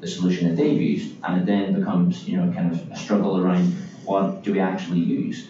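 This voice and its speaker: Talking at a very fast pace with an Irish accent, a man is heard amid noticeable background noise and audible room echo. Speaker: business development executive. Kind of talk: interview.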